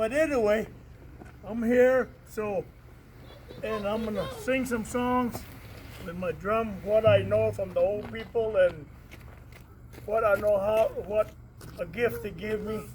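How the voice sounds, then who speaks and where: With an American accent, the speaker goes at a fairly slow pace with fairly even intonation and long, frequent pauses over noticeable background noise. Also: man, high pitch for a man. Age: 70s. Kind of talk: casual talk to community gathering. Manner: halting.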